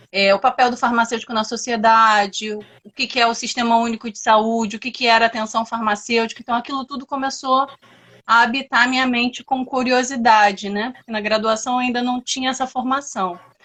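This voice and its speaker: A woman speaks at a fairly quick pace in a fairly high pitch, her bright, sharp tone delivered with flat, monotone intonation and big swings in loudness. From Rio de Janeiro, Brazil. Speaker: pharmacist and lecturer. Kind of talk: live webinar talk. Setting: online live stream.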